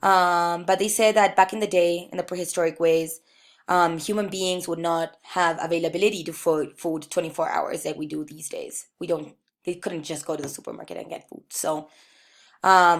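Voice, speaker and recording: A woman with a fairly low pitch speaks in a monotone, flat way at a moderate pace, in a very clean recording with a silent background. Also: big swings in loudness. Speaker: student presenter. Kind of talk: class presentation. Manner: hesitant, many ums.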